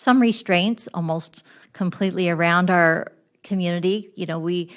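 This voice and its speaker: A woman speaks with a US Midwestern accent. Her pitch is fairly low. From east-central Illinois. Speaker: village mayor. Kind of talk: public testimony at county board meeting. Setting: county board committee meeting. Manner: halting, many fillers and restarts; loud.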